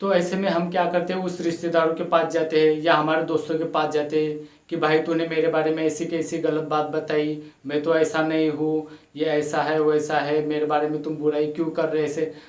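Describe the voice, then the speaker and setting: Barely pausing, a man with a fairly high pitch talks in a monotone, flat intonation amid noticeable background noise and audible room echo. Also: moderate pace. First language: not Hindi (speaking Hindi). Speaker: motivational YouTuber. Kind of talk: motivational talk. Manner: halting, many fillers.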